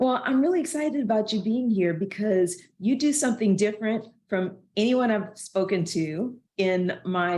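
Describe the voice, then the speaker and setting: A woman speaks with a Southern US accent at a medium pitch. Her tone is dark and mellow. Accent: Southern American. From US South. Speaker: podcast host. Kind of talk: podcast interview.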